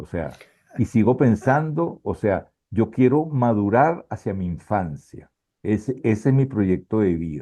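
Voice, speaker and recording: A man speaks at a fairly slow pace in a fairly low pitch, with a dark, mellow tone. His intonation is lively. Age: 70s. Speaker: photographer. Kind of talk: interview. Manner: casual.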